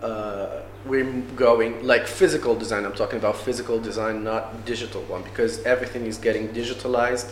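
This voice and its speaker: Amid audible room echo and noticeable background noise, a man talks fairly quickly in a flat monotone at a medium pitch. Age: young. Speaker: industrial designer. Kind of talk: interview. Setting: café. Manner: halting, repeats words.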